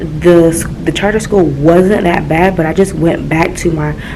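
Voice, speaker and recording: A woman is whispering in a room with audible echo. Noticeable background noise sits behind her. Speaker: middle school teacher and vlogger. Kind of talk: casual vlog. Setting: classroom.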